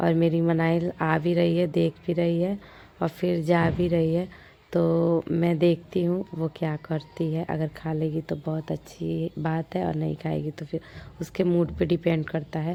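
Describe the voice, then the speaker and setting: A woman's fairly low voice with a dark, mellow tone and monotone, flat intonation at a fairly slow pace. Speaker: vlogger. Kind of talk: casual vlog narration. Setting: home, sitting outside in the sun.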